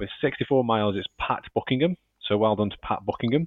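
With a Staffordshire accent, a man talks at medium pitch with lively intonation. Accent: Stoke-on-Trent, Staffordshire. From Stoke-on-Trent, England. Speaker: podcast host and editor. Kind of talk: casual chat, podcast. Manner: chatty, jokey.

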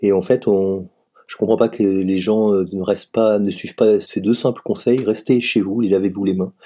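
At a moderate pace, a man speaks with a fairly low pitch, fairly even intonation and a dark, mellow tone. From Savoie, France. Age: 50s. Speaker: teacher. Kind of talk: testimony.

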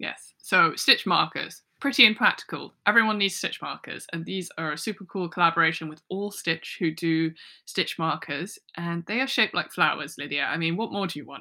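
The speaker goes at a moderate pace with hardly any pauses, using ordinary pitch variation and big swings in loudness. The tone is bright and sharp, and the recording is very clean with a silent background. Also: woman, fairly low pitch for a woman. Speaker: podcast host. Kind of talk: casual chat.

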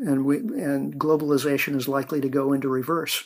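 A man talks in a plain, everyday voice with a General American accent, fairly high in pitch with ordinary pitch variation, at a moderate pace. The recording is very clean, with a silent background. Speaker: author and energy researcher. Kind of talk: interview.

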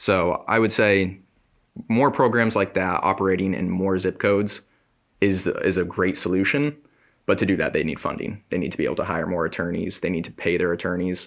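Against a quiet background, a man with a very deep, low pitch speaks in an American accent at a fairly quick pace with ordinary pitch variation. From Connecticut. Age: 20s. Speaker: journalism student. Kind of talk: interview.

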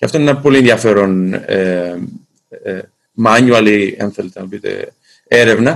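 A man speaks at a fairly slow pace with medium pitch, ordinary pitch variation, big swings in loudness, and long, frequent pauses. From Greece. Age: 40s. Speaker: sports federation executive. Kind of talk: interview. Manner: formal.

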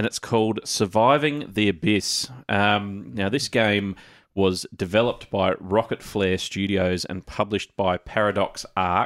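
An Australian accent at a fairly slow pace on a very clean recording with a silent background. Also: man, fairly low pitch for a man, ordinary pitch variation. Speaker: podcast host. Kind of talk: casual chat.

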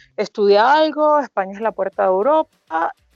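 A woman's fairly quick speech with very wide pitch swings and a dry, close sound with no echo. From Venezuela, Margarita Island. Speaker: hospitality and wine promoter, former lawyer. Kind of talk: casual interview. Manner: fast.

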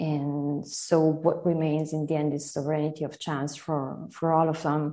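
Against a quiet background, a woman with an Italian accent speaks in a very deep, low pitch. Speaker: literary translator and teacher. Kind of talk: interview about literature.

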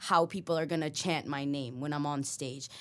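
In a Toronto accent, a woman speaks at a moderate pace on a very clean recording with a silent background. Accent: Toronto-area Canadian English. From Canada, Mississauga, Ontario (Filipino household). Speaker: rapper. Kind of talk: casual interview.

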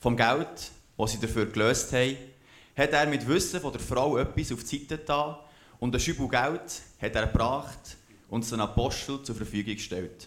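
The speaker talks with a Bernese accent at a moderate pace and with ordinary pitch variation. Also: man, medium pitch for a man. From Switzerland, Aargau and Zurich. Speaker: scripture reader. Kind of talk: reading aloud.

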